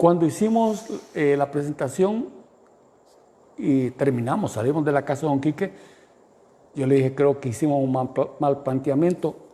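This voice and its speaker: A man speaks at a moderate pace with a fairly high pitch and a dark, mellow tone. Long pauses come often. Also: ordinary pitch variation. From El Salvador, San Juan Opico. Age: 70s. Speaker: radio founder and administrator. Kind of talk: interview conversation.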